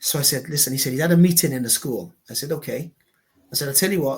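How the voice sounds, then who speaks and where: This man has a fairly high pitch and a somewhat breathy voice. He speaks with a South Wales accent. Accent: Welsh (south Wales). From Wales, Newport. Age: 50s. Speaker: local councillor and former footballer. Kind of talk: interview.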